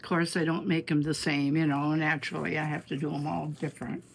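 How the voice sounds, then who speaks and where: This is a woman speaking. She has an Upper Midwest accent. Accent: Upper Midwest American. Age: 90s. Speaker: artist. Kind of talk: casual chat.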